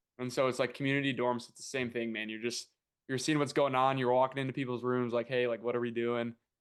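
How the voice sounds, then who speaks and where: Against a quiet background, a man with medium pitch rushes along at a very fast pace in a monotone, flat delivery, his loudness swinging widely. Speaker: former college baseball player. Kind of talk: casual chat.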